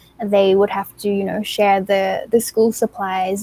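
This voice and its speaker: This woman has an Australian accent. Her tone is dark and mellow. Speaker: beauty pageant contestant. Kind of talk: interview.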